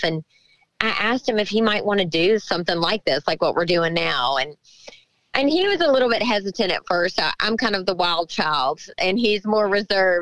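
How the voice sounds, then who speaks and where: With a Southern US accent, a woman speaks at a fairly quick pace in a medium pitch, and the sound is dry and close with no echo. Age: 40s. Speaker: country singer. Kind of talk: interview.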